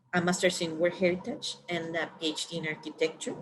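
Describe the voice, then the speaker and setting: A woman with a Spanish accent speaks at a moderate pace in a fairly low voice. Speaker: architect and professor. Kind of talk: webinar presentation.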